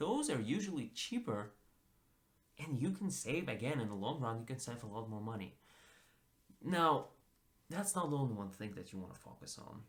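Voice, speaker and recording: A man with a medium pitch and a somewhat breathy voice speaks at a moderate pace with very wide pitch swings and long, frequent pauses. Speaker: personal finance YouTuber. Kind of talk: casual talk to camera.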